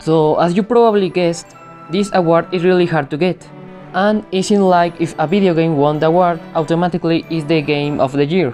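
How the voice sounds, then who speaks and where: Over music in the background, a fairly low-pitched woman talks at a fairly quick pace with fairly even intonation and very even loudness. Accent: non-native. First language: non-native English speaker. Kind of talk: video game review talk.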